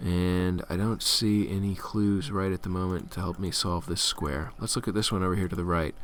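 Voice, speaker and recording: This man's voice sits at a very deep, low pitch with ordinary pitch variation. He keeps a moderate pace with hardly any pauses. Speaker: game tutorial presenter. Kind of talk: tutorial. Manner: casual with fillers.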